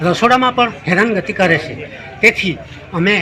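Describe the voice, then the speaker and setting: A man's raised, projected voice, high in pitch with ordinary pitch variation, over noticeable background noise. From south Gujarat, India. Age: 70s. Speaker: farmer. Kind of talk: news interview statement.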